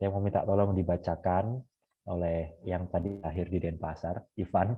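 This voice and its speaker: A man's very deep, low voice holds fairly even intonation while he talks at a moderate pace. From Bali, Indonesia. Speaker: Jesuit seminarian leading a Bible study. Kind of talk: online Bible study session.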